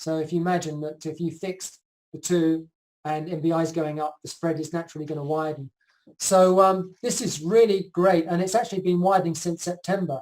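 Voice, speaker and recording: The delivery comes at a fairly quick pace. Its intonation stays fairly even. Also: man, high pitch for a man. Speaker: market analyst presenting charts. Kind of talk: online conference presentation. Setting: live video call. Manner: fast; hesitant fillers.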